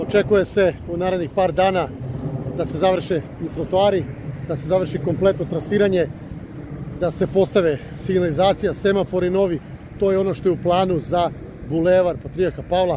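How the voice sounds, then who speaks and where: Over noticeable background noise, a man with a high pitch talks at a fairly quick pace in fairly even intonation, the sound dry with no echo. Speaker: local vlogger. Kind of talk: casual vlog commentary. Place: street. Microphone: phone near.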